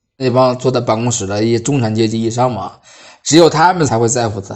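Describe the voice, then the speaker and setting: Man's dark, mellow voice at a moderate pace, with ordinary pitch variation over a quiet background. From Hebei, Baoding. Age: 30s. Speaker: new energy industry worker posted abroad. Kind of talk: first-person storytelling.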